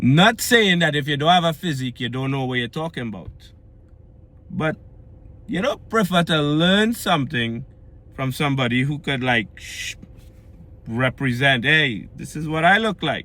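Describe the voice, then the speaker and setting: A man with a Trinidadian accent speaks in an animated tone with lively intonation and a fairly high pitch. His pace is moderate, broken by long, frequent pauses. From Trinidad and Tobago. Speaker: fitness vlogger. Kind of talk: casual vlog monologue. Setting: recorded after pulling into home yard. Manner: animated, conversational.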